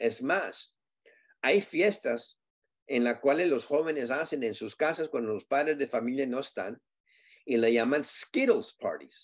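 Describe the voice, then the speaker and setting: A man speaks very slowly at a fairly high pitch with lively intonation, the background quiet. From US, Southern California. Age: 60s. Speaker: community advocate on drug addiction; guest. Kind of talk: interview. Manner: halting with fillers and repetitions. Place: home room. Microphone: video call.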